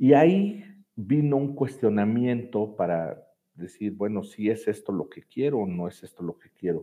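A man talks at a fairly slow pace and medium pitch. His intonation is lively, and his loudness swings widely. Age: 40s. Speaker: executive director of a children's home. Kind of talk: interview. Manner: hesitant, with fillers and repetitions.

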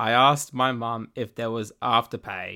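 A man with an Australian accent, medium pitch, and a fairly slow pace. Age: young. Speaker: podcast host. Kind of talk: casual solo monologue. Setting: home bedroom recording.

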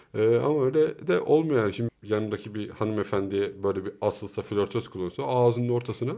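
A man's unremarkable speaking voice, fairly low in pitch, with ordinary pitch variation and a fairly quick pace. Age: 40s. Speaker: podcast co-host. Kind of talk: casual chat. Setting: home recording.

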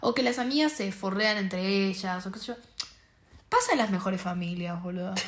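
A woman's speech runs fairly quickly, its pitch moving in an ordinary way, with noticeable noise behind her. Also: medium pitch for a woman. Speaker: podcast co-host. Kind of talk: casual chat.

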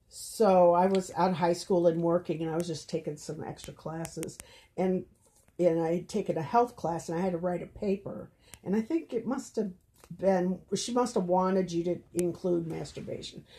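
With an American accent, a somewhat breathy voice of dark, mellow tone speaks with ordinary pitch variation in a very clean recording with a silent background. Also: woman, fairly low pitch for a woman, moderate pace. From rural Minnesota. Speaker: podcast guest, host's mother. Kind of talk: casual chat.

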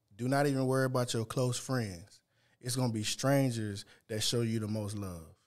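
A man speaks at a moderate pace with a Louisiana accent and ordinary pitch variation. The recording is very clean, with a silent background. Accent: US South (Louisiana). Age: 40s. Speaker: seafood vendor and podcaster. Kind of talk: casual chat.

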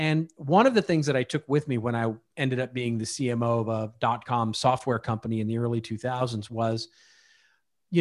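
A man with an American accent speaks at a fairly quick pace in a normal speaking voice, with medium pitch and ordinary pitch variation, on a very clean recording with a silent background. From Texas, Dallas. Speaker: marketing strategist and author. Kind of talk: interview.

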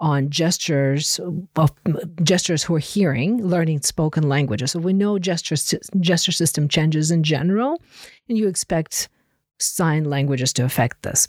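A woman speaks at a moderate pace with a very deep, low pitch, ordinary pitch variation and very even loudness, in a dry, close sound with no echo on a very clean recording with a silent background. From Ukraine. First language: Russian. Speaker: linguistics professor. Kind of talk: interview.

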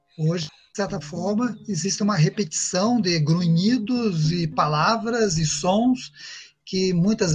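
The man's high pitch shows ordinary variation as he talks. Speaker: agronomist and professor. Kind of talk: interview.

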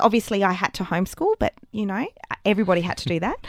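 An Australian accent on a very clean recording, dry and close with no echo and a silent background. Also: woman. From Wagga Wagga, New South Wales, Australia. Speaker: educational writer and app founder. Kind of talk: interview. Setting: studio. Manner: hesitant, many fillers.

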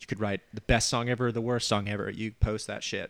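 Speaking at a fairly quick clip with a Southern US accent, the voice stays monotone and flat, recorded dry and close with no echo against a silent background in a very clean recording. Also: man. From Alabama. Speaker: podcast host. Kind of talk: casual chat.

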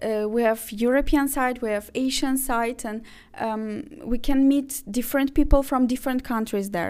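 A woman with an Azerbaijani accent, high in pitch, at a moderate pace, in a very clean recording with a silent background. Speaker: university international office manager. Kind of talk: interview. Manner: hesitant, many fillers.

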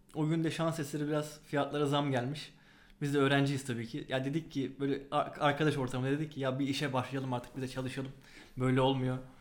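Audible room echo carries a man's fairly high voice, which moves at a fairly quick pace with monotone, flat intonation. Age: 20s. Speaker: board game designer and research assistant. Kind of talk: interview. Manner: hesitant fillers.

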